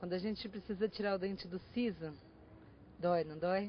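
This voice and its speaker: A woman talks at a moderate pace and a medium pitch. Her pitch varies in an ordinary way. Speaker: pediatric nutritionist. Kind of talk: interview answer.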